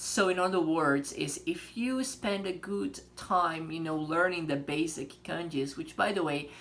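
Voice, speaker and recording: Moderate pace and ordinary pitch variation, with a Portuguese accent. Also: man. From Brazil. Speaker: language teacher. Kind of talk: tutorial. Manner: casual, many fillers.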